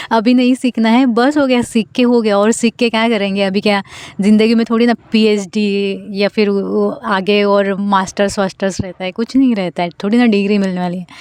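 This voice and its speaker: With a non-native accent, a woman speaks at a moderate pace in a medium pitch with fairly even intonation and hardly any pauses, the sound dry and close with no echo. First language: not Hindi (speaking Hindi). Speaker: vlogger. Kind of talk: casual vlog monologue. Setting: outdoors in a garden. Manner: hesitant, with many fillers.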